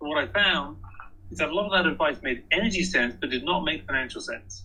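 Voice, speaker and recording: A man with a British accent talks at a very fast clip, his pitch fairly high. Vocal fry runs through his speech. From England. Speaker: author and energy efficiency speaker. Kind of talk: presentation. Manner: hesitant with fillers.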